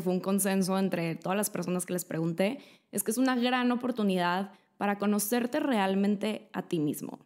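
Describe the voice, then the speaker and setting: A woman talks fairly quickly, with normal pitch movement, and the background is quiet. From Mexico. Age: 20s. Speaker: lifestyle YouTuber. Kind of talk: vlog monologue. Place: home room. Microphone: studio mic.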